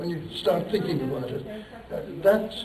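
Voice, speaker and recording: Recorded with audible room echo and noticeable background noise, a man speaks. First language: Turkish. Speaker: professor. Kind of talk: lecture. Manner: rambling, conversational.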